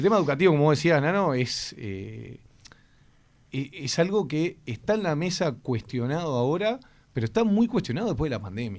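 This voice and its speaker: The man's pitch sits fairly high and swings very widely. He keeps a moderate pace. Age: 30s. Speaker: education official. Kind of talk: radio interview.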